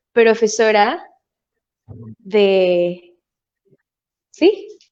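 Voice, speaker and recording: The voice moves at a very slow pace with a dark, mellow tone. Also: woman. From Venezuela. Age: 20s. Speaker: musical theatre performer and voice teacher. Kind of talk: interview.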